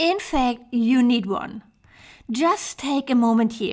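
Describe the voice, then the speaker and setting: A woman's high voice with a German accent, lively intonation and a very slow pace. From Germany, Hamburg. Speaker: web designer for yoga teachers. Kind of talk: online training presentation. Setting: online summit presentation.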